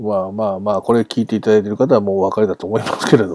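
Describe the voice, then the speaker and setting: This man's voice sits fairly low in pitch, with a dark, mellow tone. His intonation stays fairly even. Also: dry, close sound with no echo. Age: 40s. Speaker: sports podcast host. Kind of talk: farewell monologue. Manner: casual with frequent laughs.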